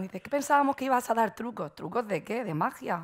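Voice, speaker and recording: A woman with a Murcian accent talks at a very fast pace. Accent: Murcian Spanish, drops consonants. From Murcia, Spain; Spain. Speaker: marketing agency owner, conference speaker; conference speaker. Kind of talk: conference talk. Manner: frequent fillers and hesitations; careful pronunciation. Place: stage. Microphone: headset.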